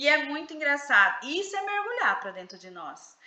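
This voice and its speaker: A woman projects a raised voice at a moderate pace. Room echo and background noise are both noticeable. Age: 40s. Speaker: psychoanalyst leading a book study group. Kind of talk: live online book study session.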